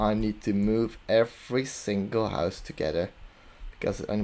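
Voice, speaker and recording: A man with a non-native accent speaks at a moderate pace in a fairly low pitch with a dark, mellow tone. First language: not English. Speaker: video game commentator. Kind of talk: casual gameplay commentary. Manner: hesitant.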